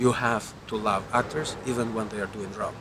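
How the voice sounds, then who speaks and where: A man speaks with an Albanian accent. Noticeable background noise can be heard. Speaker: film director. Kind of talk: interview. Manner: halting, with repetitions.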